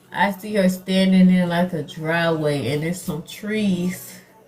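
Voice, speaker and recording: Over music in the background, a woman speaks at a very slow pace with fairly even intonation. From New York. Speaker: psychic medium. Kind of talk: live-stream mediumship reading. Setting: live video stream. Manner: casual, repetitive.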